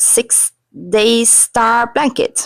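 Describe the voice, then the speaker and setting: A woman with a non-native accent, in a dry, close sound with no echo. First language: not English. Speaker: crochet vlogger. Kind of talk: casual vlog narration. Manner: casual, with hesitations.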